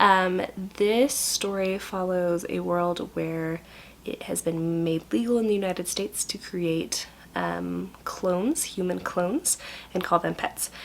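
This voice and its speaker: Soft-spoken at a fairly slow pace, a woman talks over noticeable background noise. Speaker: book vlogger. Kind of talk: casual book review vlog. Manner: hesitant, many fillers; soft-spoken, trying to be quiet.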